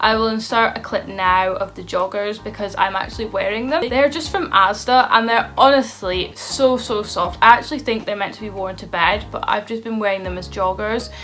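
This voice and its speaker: A woman with a Scottish accent talks at a moderate pace with hardly any pauses and big swings in loudness. Background noise is noticeable. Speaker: beauty and lifestyle vlogger. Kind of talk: casual vlog talk to camera. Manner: animated.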